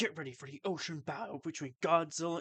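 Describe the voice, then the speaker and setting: Putting on a character voice, a man rattles along very fast at a fairly high pitch. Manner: bold, promotional.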